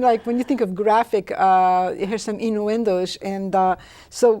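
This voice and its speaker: Over noticeable background noise, a woman speaks at a fairly slow pace and a fairly high pitch. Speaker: chiropractic physician and author, talk show host. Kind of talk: interview questions.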